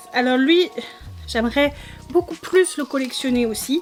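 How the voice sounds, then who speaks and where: A woman speaks at a high pitch. Music plays in the background. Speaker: K-pop collector YouTuber. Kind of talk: unboxing haul video. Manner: casual, hesitant with fillers.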